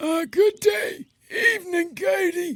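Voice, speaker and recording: A put-on character voice from a man, pitched extremely high and paced fairly slowly. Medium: audio drama. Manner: polite, mild.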